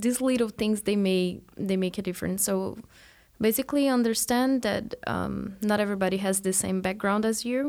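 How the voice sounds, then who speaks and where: A moderate pace and fairly even intonation with a Portuguese accent. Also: woman, medium pitch for a woman. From Brazil. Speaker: PhD student. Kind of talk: interview.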